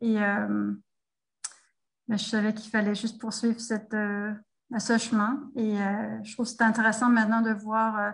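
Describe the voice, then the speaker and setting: A somewhat breathy woman with a Danish accent at a fairly slow pace, in monotone, flat intonation, with long, frequent pauses and big swings in loudness. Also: fairly high pitch for a woman. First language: Danish (speaking French). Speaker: French teacher and textbook author. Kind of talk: interview. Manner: halting, many hesitations.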